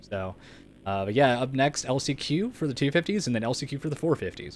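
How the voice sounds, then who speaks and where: A man with an unremarkable speaking voice talks at a fairly quick pace, his medium pitch carrying lively intonation. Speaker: race commentator and streamer. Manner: casual, stumbling over words.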